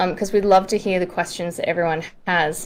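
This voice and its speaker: There is noticeable background noise. Through it, a woman speaks with an Australian accent. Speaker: documentary director and AMA co-host. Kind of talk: live online AMA hosting.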